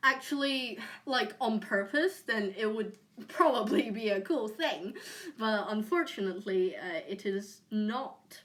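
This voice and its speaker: A woman talks with a British accent at a fairly high pitch. Her pace is fairly slow and her intonation lively. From UK. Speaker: streamer. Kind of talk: casual chat. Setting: live stream on camera. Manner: halting, many fillers.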